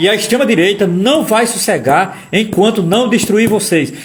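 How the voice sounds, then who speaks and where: A high-pitched man speaks in an animated tone with ordinary pitch variation. Noticeable background noise and audible room echo surround him. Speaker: political commentator / lecturer. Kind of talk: live-stream lecture. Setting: live stream. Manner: fast.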